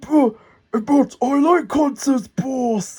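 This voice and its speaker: A woman puts on a character voice pitched high. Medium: read story.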